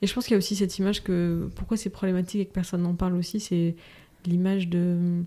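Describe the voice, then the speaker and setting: Very fast, monotone speech from a woman with a medium pitch and a dark, mellow tone, on a very clean recording with a silent background. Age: 30s. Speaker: mother and entrepreneur, podcast guest. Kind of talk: casual chat.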